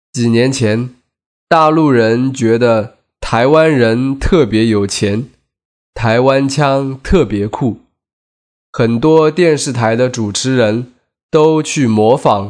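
A very slow male voice, medium in pitch, with ordinary pitch variation. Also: quiet background. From mainland China. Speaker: podcast host teaching Chinese. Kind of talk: scripted narration.

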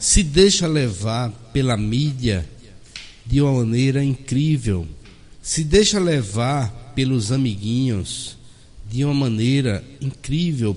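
A man talks at a very slow pace and a medium pitch. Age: 40s. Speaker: doctor and spiritist speaker. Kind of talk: radio interview.

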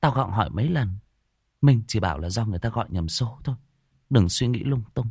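An unforced reading voice carries lively intonation against a quiet background.

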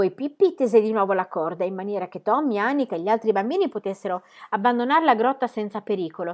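A natural reading voice carries the text aloud with lively intonation.

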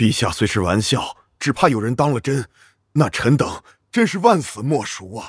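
A man's shaky, put-on character voice at a medium pitch, in a very clean recording with a silent background. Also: moderate pace. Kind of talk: formal, deferential. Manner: trembling, fearful.

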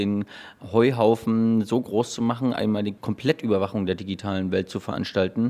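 A man's dark, mellow voice at a fairly quick pace with fairly even intonation. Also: fairly low pitch for a man.

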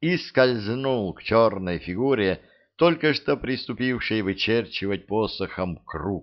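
Someone is reading aloud in a natural voice. The pitch shows ordinary variation.

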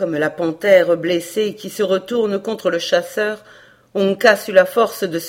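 The speaker reads in a natural voice, and the pitch moves up and down an ordinary amount.

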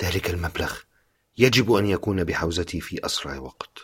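With the background quiet, someone is reading aloud in a natural voice, the pitch varying in an ordinary way.

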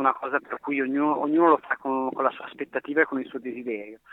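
This man uses a normal speaking voice. His pitch is medium and his intonation fairly even. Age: 30s. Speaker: hiking route host, mountain resident. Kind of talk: interview.

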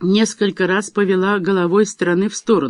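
The delivery is plain reading aloud. Its intonation remains fairly even.

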